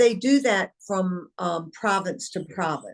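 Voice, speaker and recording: With a Southern US accent, a woman speaks at a medium pitch with ordinary pitch variation. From US South, eastern North Carolina. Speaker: company founder and CEO. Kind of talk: interview.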